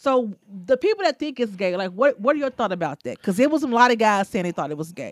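In a dry, close recording with no echo, a woman with a fairly high pitch speaks at a very fast pace in an animated tone, with very wide pitch swings. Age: 40s. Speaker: podcast co-host. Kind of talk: casual chat.

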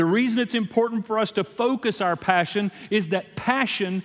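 A high-pitched man with a Louisiana accent and ordinary pitch variation. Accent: Louisiana Southern US. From US South, Shreveport, Louisiana. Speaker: guest preacher. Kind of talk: sermon.

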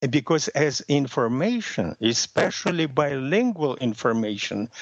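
With a Russian accent, a man talks at a fairly slow pace in a fairly high pitch, his voice making very wide pitch swings. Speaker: language method creator, former interpreter. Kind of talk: interview. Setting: phone call. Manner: hesitant, many fillers.

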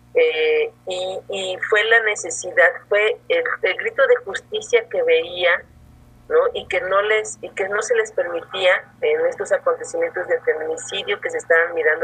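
The pace of this woman's speech is fairly slow. Background noise is noticeable behind her. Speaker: feminist lawyer and workshop teacher. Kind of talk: interview. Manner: halting, many fillers.

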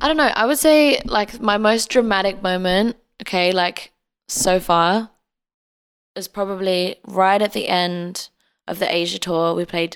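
With an Australian accent, a woman talks at a fairly slow pace with ordinary pitch variation. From Australia (Adelaide), born in England until about age ten. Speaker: singer-songwriter. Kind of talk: casual interview.

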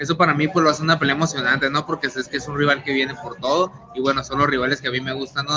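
A man's fairly high, monotone voice at a very fast pace, with flat intonation and noticeable background noise. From Tijuana, Mexico. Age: 20s. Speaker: professional boxer. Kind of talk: interview.

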